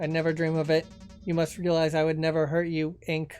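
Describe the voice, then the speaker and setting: A man puts on a robotic character voice, fairly high in pitch, with monotone, flat intonation at a fairly quick pace over faint music in the background. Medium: solo performance. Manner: formal, eloquent.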